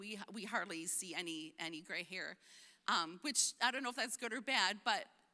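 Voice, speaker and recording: A woman's bright, sharp voice swings very widely in pitch at a moderate pace. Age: 60s. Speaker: pro-life speaker. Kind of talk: conference talk.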